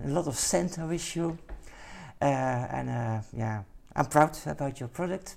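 A man with a Dutch accent speaks at a fairly high pitch and a fairly slow pace. He leaves long, frequent pauses. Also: ordinary pitch variation. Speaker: podcast host. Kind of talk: interview. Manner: halting.

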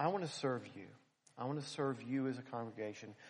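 A man of medium pitch with an American accent, lively intonation and a moderate pace. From Philadelphia. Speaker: preacher. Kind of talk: sermon. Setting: church.

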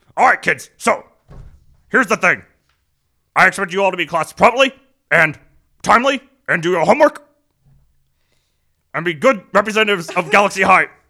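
Putting on a character voice, a man speaks high and projected at a fairly quick pace with lively intonation and long, frequent pauses. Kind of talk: brisk authoritative school address. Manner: fast talking.

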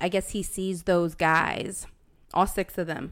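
A woman with a normal speaking voice talks at medium pitch and a moderate pace. The recording is very clean, with a silent background. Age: 20s. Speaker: podcast co-host. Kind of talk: casual chat.

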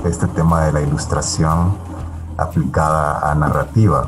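Noticeable background noise behind a man's very deep, low voice with fairly even intonation. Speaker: animator and illustrator. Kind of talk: radio interview. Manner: halting.

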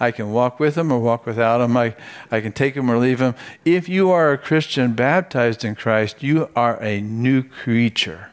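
In a very clean recording with a silent background, a man uses a normal speaking voice at a medium pitch and moderate pace, with ordinary pitch variation. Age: 60s. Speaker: pastor. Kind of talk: sermon.

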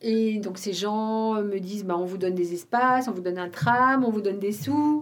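At a moderate pace, a woman with an unremarkable speaking voice talks in a medium pitch with lively intonation. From Belgium, Wallonia (between Charleroi and Namur). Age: 50s. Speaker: former magazine editor and women's network founder. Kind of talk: interview conversation.

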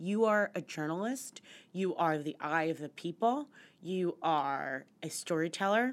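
An ordinary speaking voice from a woman with an American accent, fairly low in pitch, with lively intonation, at a fairly slow pace, on a very clean recording with a silent background. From West Virginia and central Pennsylvania. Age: 30s. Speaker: finance journalist. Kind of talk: casual interview.

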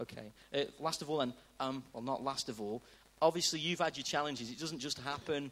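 A man talks at a very fast pace. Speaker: church host leading service. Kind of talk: interview and leading prayer. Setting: church with audience.

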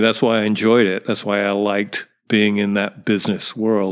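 A man talks at a moderate pace. His voice sits fairly low. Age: 60s. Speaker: businessman and retail founder. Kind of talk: casual interview chat. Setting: home, in person.

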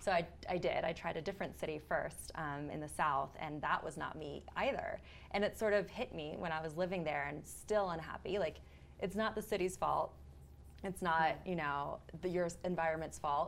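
A woman speaks at a fairly low pitch with vocal fry. Her pace is moderate. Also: ordinary pitch variation. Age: 30s. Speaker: freelance journalist. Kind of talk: casual chat.

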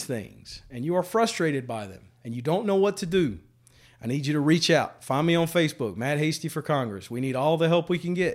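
Recorded very cleanly against a silent background, a man with a Louisiana accent speaks at a fairly high pitch. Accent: Louisiana Southern. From central Louisiana. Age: 40s. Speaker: congressional candidate. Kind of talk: interview. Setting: barbershop.

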